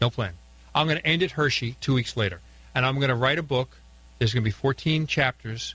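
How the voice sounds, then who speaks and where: Very fast and very even in loudness, a man speaks in a bright, sharp tone with ordinary pitch variation. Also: medium pitch for a man. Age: 60s. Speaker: car collector and author. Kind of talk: radio interview. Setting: radio studio.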